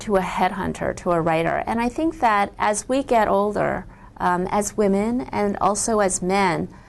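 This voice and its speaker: A woman's normal speaking voice with an American accent, fairly high pitch, lively intonation, very even loudness, and a moderate pace with hardly any pauses. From US, Chinese immigrant family. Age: 40s. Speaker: author. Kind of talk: interview.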